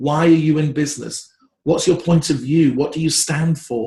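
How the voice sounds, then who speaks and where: Somewhat breathy, a man with a British accent speaks at a fairly high pitch. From England. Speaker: branding expert. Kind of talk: interview. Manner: animated.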